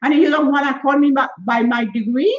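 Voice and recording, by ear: A woman talks at a high pitch and a fairly quick pace. Her pitch varies in an ordinary way.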